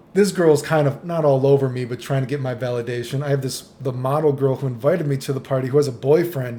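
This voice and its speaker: With ordinary pitch variation, this man's voice sounds somewhat breathy. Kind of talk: casual talk to camera; storytelling about personal experiences.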